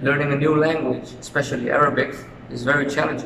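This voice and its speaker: A man speaks over noticeable background noise. His voice carries an audible room echo. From Suriname. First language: Dutch. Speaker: university student. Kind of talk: interview. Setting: outdoors in front of university faculty.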